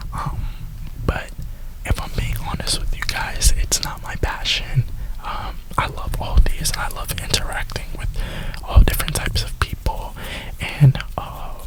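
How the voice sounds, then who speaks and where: A man whispers at a fairly slow pace, leaving long, frequent pauses. His loudness swings a lot, and there is noticeable background noise. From Florida, USA. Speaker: ASMR YouTuber who also works a retail job. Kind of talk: casual talk to camera, rambling. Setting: inside a parked car. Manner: whispered, soft-spoken.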